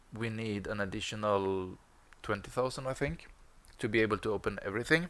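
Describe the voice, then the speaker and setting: This man speaks at a fairly quick pace with a Swedish accent. His pitch is fairly low, with ordinary variation. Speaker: gaming streamer. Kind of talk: gameplay commentary. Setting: live stream with headset.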